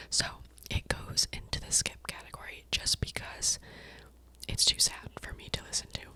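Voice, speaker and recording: A woman whispering, with big swings in loudness and long, frequent pauses, over noticeable background noise. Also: moderate pace. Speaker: ASMR creator. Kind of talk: casual ASMR talk to camera. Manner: whispered.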